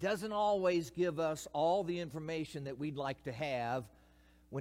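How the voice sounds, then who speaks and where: Speaking with a Kentucky accent, a man at a fairly high pitch moves at a moderate pace with very wide pitch swings. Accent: Kentucky Southern US. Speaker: retired pastor, guest preacher. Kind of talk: sermon. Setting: church.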